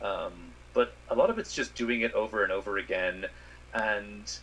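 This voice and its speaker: A man speaks with an American accent at a moderate pace while noticeable background noise fills the recording. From Ireland. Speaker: space scientist. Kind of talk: interview answer. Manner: hesitant, some repetitions.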